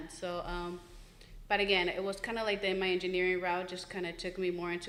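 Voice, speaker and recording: A woman with a Spanish accent, medium pitch, monotone, flat intonation and a fairly quick pace, plus audible room echo. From born in Mexico, raised in Florida from age 8. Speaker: engineer in construction, panelist. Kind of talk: panel discussion.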